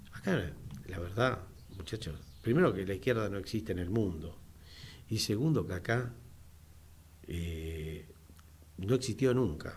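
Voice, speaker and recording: Over light background noise, a man speaks with a very deep, low pitch and a somewhat breathy voice. His fairly slow delivery has lively intonation and long, frequent pauses. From Argentina. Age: 60s. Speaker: radio host and business owner; radio host or guest. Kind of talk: radio talk show. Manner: halting, many fillers. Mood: earnest political opinion. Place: studio. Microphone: studio mic.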